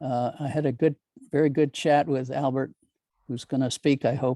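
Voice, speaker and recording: The man's voice sits at a fairly high pitch with a dark, mellow tone and fairly even intonation. The sound is dry and close, with no echo. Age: 70s. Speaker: retired nonprofit director. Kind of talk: casual chat. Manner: halting.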